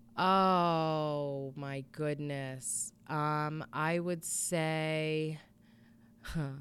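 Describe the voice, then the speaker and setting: A woman with an American accent talks in a very deep, low pitch, keeping her intonation fairly even. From Connecticut, New England (Bristol). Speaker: area coach, addiction survivor. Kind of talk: interview testimony.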